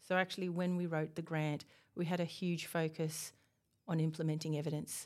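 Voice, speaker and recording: Speaking with a slight Australian accent, a woman moves at a fairly quick pace. Her intonation is monotone and flat, her pitch fairly low. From Australia, Tasmania. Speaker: university researcher, principal investigator. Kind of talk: interview. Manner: hesitant, with fillers.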